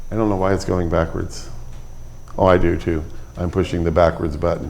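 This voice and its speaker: With audible room echo, a man speaks at a very deep, low pitch and fairly even intonation. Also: fairly quick pace. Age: 70s. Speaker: Bible class teacher. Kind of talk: Bible class lecture. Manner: halting, many fillers.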